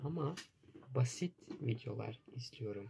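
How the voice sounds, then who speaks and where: A dark, mellow tone and a somewhat breathy quality mark this man's voice. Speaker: language teacher. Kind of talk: language lesson. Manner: slow; repetitive, simple phrasing.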